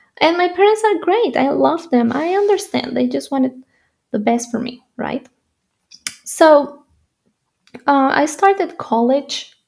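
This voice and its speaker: This woman has a high voice with very wide pitch swings, talking at a fairly slow pace with long, frequent pauses. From Spain, Madrid. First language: Spanish. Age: 20s. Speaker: YouTuber and entrepreneur. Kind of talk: personal story vlog. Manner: halting.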